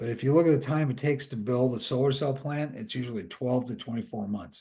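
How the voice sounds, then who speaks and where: A man speaks at a very fast pace in a dark, mellow, somewhat breathy tone. His pitch is medium with ordinary variation, against a quiet background. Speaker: industry analyst. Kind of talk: webinar presentation.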